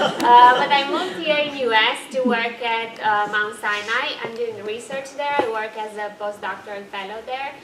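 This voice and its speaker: With a Romanian accent, the speech moves at a moderate pace with hardly any pauses and ordinary pitch variation, amid audible room echo and noticeable background noise. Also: woman, fairly high pitch for a woman. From Transylvania, Romania. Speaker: postdoctoral research psychologist. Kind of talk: panel self-introduction. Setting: conference workshop with audience.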